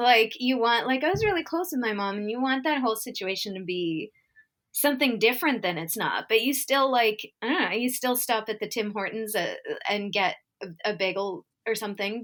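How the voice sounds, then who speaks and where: A woman's ordinary speaking voice with a Canadian accent, fairly high in pitch, lively in intonation and fairly quick in pace. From Winnipeg, Manitoba, Canada. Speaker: comedian and storyteller. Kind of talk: casual podcast conversation.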